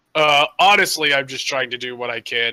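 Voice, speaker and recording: Putting on a raspy character voice, a man speaks at medium pitch and a moderate pace with lively intonation, in a dry, close sound with no echo. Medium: actual play. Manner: rambling, hesitant.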